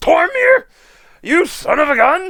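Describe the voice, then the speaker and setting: A man does a put-on character voice at an extremely high pitch. His pitch swings very wide. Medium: actual play. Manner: folksy, blunt.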